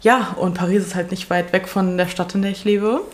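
At a very fast pace, a woman speaks in a flat, monotone way at a fairly low pitch, with noticeable background noise. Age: 20s. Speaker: podcast co-host. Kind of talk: casual chat.

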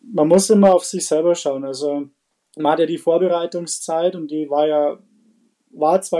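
With a dark, mellow tone and a fairly high pitch, a man speaks at a moderate pace. His intonation is fairly even, and the sound is dry and close with no echo. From Bavaria, Bad Reichenhall. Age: 20s. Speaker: chef and pastry chef. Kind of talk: casual interview.

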